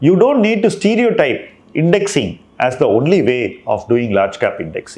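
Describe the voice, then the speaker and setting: Indian accent from a man, high in pitch with very wide pitch swings, at a moderate pace. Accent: Indian English (Tamil). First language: Tamil. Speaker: investment manager. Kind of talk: monthly portfolio review talk.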